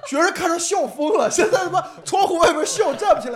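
With lively intonation and a fairly quick pace, the speaker talks over noticeable background noise. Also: man. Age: 20s. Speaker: stand-up comedian. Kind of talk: casual chat. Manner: animated.

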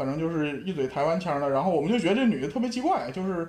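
This man speaks with a Shenyang accent. His pitch is fairly high and his pace very fast. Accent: Shenyang northeastern accent throughout. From Shenyang, Liaoning, China. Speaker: sports industry worker. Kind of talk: casual chat. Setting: online call.

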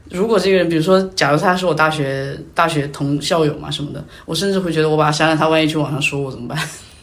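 A woman talks at a very fast pace with a very deep, low pitch and fairly even intonation. Room echo is audible. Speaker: podcast guest. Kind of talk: casual chat. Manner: talkative.

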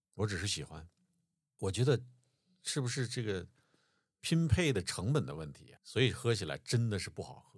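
A man speaks at a moderate pace in a fairly low voice with vocal fry, very wide pitch swings, big shifts in loudness and long, frequent pauses, on a very clean recording with a silent background. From Changbai Mountains, Northeast China. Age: 50s. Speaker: podcast host. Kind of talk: casual chat.

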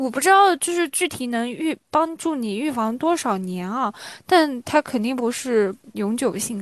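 Speaking at a fairly slow pace, a woman with a high pitch makes very wide pitch swings over a quiet background. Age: 20s. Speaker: podcast host. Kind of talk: casual chat.

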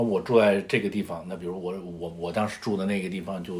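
A man talks with a very deep, low pitch. His pace is fairly quick and his intonation fairly even. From northern China. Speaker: podcast co-host. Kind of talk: casual chat.

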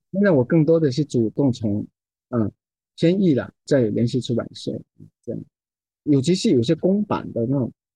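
Medium in pitch, a man's voice is somewhat breathy with a dark, mellow tone. He speaks at a moderate pace, and the sound is dry and close with no echo. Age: 60s. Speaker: poet and translator. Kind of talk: casual chat.

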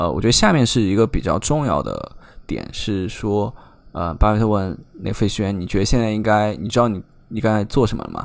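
A man's voice sits fairly low, with ordinary pitch variation. He moves at a fairly quick pace. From China, Chengdu. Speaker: strategy operations at a trading platform. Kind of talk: interview. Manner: halting, many fillers.

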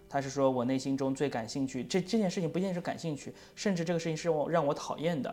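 The speech runs very fast with hardly any pauses over music in the background. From China. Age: middle-aged. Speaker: photography student and podcast co-host. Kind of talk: casual chat. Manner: repetitive, halting.

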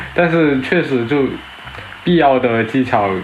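Amid noticeable background noise and audible room echo, a man speaks at a moderate pace with medium pitch and ordinary pitch variation. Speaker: former student, graduate student. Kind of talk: casual chat. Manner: halting.

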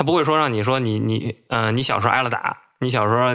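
Speaking very fast, a man with a Beijing accent holds a medium pitch. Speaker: bookseller. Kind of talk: casual chat.

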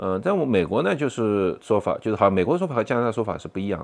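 A man speaks at a fairly quick pace. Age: 40s. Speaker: podcaster. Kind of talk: personal storytelling monologue. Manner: halting, many fillers.

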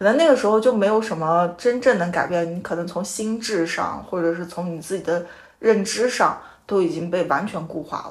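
Heard with audible room echo, the voice moves at a moderate pace with ordinary pitch variation. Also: woman, fairly low pitch for a woman. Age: 30s. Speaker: podcast host. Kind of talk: casual chat. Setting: guests' home.

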